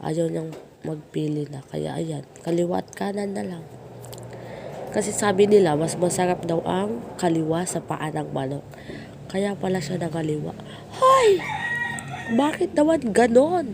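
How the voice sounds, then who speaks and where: A woman talks fairly slowly, with long, frequent pauses. Her loudness varies a lot over noticeable background noise. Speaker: cooking vlogger. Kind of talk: voice-over narration. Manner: playful, self-teasing.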